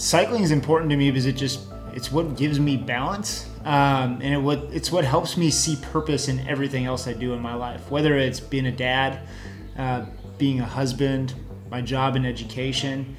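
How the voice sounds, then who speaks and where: Clear music plays in the background as a man speaks. His pace is moderate, with ordinary pitch variation. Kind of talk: interview answer. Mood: reflective, earnest. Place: home room.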